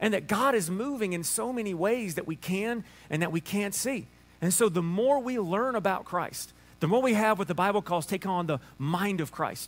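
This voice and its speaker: Speaking with a Southern US accent, a man has a high pitch and ordinary pitch variation. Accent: Southern US drawl. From Alabama. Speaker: pastor preaching a sermon. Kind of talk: casual, folksy sermon. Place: church.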